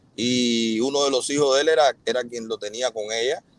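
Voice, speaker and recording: A man with a Cuban accent speaks in a dry recording with no echo. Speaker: influencer and businessman. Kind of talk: live interview, defending himself. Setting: video call, livestream. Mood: earnest, defensive explanation. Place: car. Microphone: earbuds.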